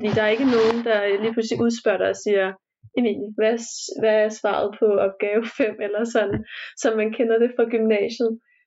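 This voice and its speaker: Her voice plain, everyday and fairly high, a woman speaks at a fairly quick pace with fairly even intonation. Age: 20s. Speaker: university student. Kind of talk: casual interview. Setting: recorded remotely, separate rooms.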